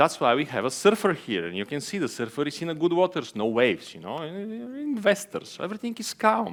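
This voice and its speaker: In an Eastern European accent, a man talks with very wide pitch swings. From Bulgaria. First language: Bulgarian. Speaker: venture capital investor. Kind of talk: conference talk. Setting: stage with audience. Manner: hesitant, many fillers.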